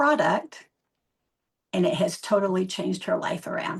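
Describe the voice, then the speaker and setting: A woman's voice comes through somewhat breathy. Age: 70s. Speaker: network marketing leader. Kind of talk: testimony.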